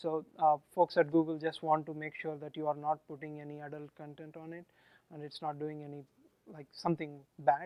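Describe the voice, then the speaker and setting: With a strong Indian accent, a man with a fairly high pitch and a dark, mellow tone speaks in a monotone, flat intonation, his loudness swinging widely in a dry, close recording with no echo. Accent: Indian, thick. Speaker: software engineer presenting at a meetup. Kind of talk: tech talk with live demo. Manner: hesitant, many fillers.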